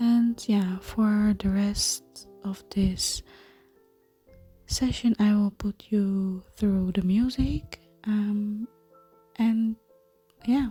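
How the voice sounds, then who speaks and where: Whispering and soft-spoken, the voice moves at a very slow pace with long, frequent pauses while music plays in the background. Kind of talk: ASMR craft tutorial talk. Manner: soft-spoken, whispered.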